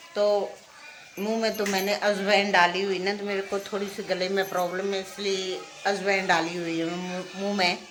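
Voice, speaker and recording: Her intonation monotone and flat, a woman with a medium pitch speaks at a moderate pace amid audible room echo and noticeable background noise. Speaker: vlogger. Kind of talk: casual vlog narration. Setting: outdoors, market.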